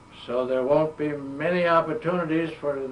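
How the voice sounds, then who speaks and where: A man with an American accent and a fairly high pitch speaks in fairly even intonation over noticeable background noise. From western Massachusetts, US Northeast. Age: 80s+. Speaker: World War II veteran. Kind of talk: oral history interview. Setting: museum.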